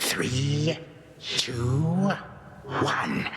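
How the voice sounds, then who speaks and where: A man's cartoonish character voice, with a clear echo and clear background noise. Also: fairly high pitch for a man. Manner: archaic, imperious.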